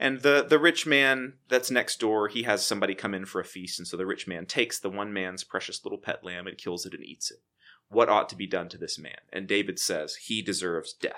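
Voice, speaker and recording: Fairly low-pitched male speech with an American accent, in an unremarkable speaking voice, at a fairly quick pace with lively intonation and big swings in loudness, in a very clean recording with a silent background. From Texas, Waco. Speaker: theology professor. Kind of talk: casual chat.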